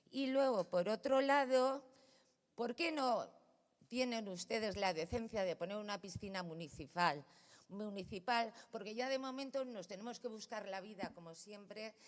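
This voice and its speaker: Fairly slow pace with lively intonation. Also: woman, fairly high pitch for a woman. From Valencia, Spain. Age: 60s. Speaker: neighbour speaking at a city council meeting. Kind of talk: public address at a council plenary. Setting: council chamber. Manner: animated, confrontational.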